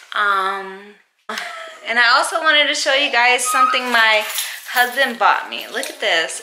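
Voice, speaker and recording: Over noticeable background noise, a woman speaks in a high pitch. Her intonation is lively. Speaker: mom vlogger. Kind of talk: casual vlog chat. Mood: playful, upbeat. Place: home room. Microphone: phone near.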